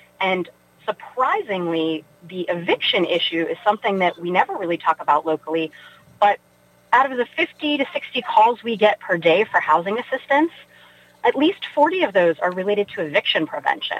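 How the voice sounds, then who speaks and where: Noticeable background noise sits behind a woman with an American accent. Her fairly high pitch moves in very wide swings. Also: moderate pace. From West Virginia (Weirton). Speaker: nonprofit chief executive. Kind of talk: radio interview.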